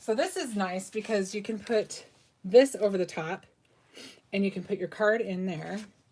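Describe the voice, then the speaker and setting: A woman talks in an ordinary speaking voice. Her pitch is medium and her pace moderate. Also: ordinary pitch variation. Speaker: crafting tutorial host. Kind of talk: live craft tutorial. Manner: casual, filler words.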